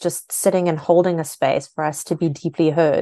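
A woman's fairly low voice with a dark, mellow tone and a South African accent, set against a quiet background. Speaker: author and spiritual mentor. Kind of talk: interview.

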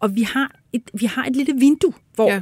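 A woman's somewhat breathy voice at a moderate pace with ordinary pitch variation, dry and close with no echo, on a very clean recording with a silent background. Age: 60s. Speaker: hearing researcher and speech therapist. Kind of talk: interview.

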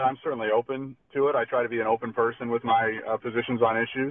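He speaks in an American accent. This man's pace is very fast. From Southern Tier, western New York. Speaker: congressional candidate, local party official. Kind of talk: radio interview, political pitch.

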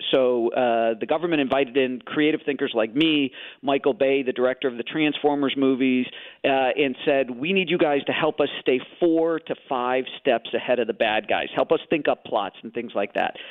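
Here is a man with an ordinary speaking voice and an American accent. His pitch is fairly high with ordinary variation, at a moderate pace. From Chicago, US Midwest. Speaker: thriller novelist. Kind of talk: radio interview.

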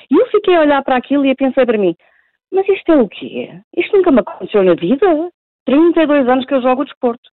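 Her voice is high-pitched and very fast, and this woman's pitch swings very widely. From Portugal. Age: 40s. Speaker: professional pool player. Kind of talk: phone interview. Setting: phone call. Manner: halting.

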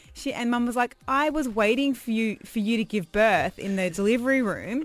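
This woman speaks with an Australian accent. Her pitch sits fairly high. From Perth, Australia. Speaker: radio host. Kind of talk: casual chat.

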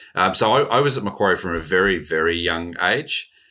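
A man with an Australian accent on a very clean recording against a silent background. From Australia, born in New Zealand. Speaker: investment executive. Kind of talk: interview.

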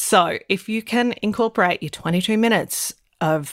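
Very wide pitch swings in an Australian accent, with a dry, close sound, no echo and a very clean recording with a silent background. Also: woman. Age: 40s. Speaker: podcast co-host and GP. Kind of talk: casual chat.

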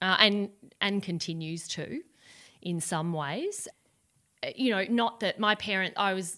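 A woman speaks at a fairly slow pace with an Australian accent. Her tone is bright and sharp. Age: 40s. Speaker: entrepreneur. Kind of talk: interview.

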